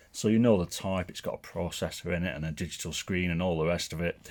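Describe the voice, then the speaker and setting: In a very clean recording with a silent background, a man with a northern English accent speaks at a moderate pace in a very deep, low voice with ordinary pitch variation. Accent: northern English twang. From northern England. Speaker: tech product reviewer. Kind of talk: product review and unboxing. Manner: casual and conversational.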